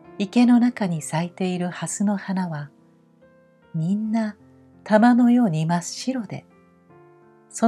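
The speaker has a gentle tone and lively intonation. The pace is fairly slow, with music in the background. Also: woman. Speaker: narrator. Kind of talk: sleep story reading. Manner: slow, gentle.

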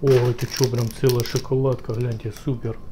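Light background noise behind a man speaking at a moderate pace. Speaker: food vlogger. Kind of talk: casual vlog chat. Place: kitchen. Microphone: phone near.

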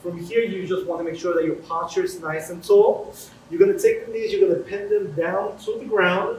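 Fairly quick speech plays with audible room echo and light background noise. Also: man. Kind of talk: tutorial. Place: gym. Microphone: camera far.

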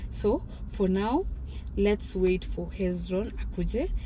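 There is light background noise as a woman speaks, and the sound is dry with no echo. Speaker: vlogger. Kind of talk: casual vlog chat. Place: car. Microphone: phone near.

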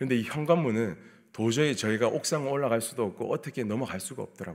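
A man is speaking. The background is quiet. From South Korea, Busan; South Korea. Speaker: pastor. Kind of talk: sermon. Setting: church. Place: church. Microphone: podium.

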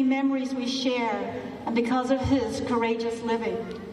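A woman is speaking. Room echo is audible around her voice. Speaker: minister. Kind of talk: funeral service. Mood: solemn, grieving. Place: hall.

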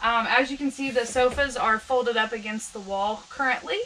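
Over light background noise, a woman speaks in a raised, projected voice with ordinary pitch variation. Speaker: camper sales guide. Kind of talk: product walk-through tour.

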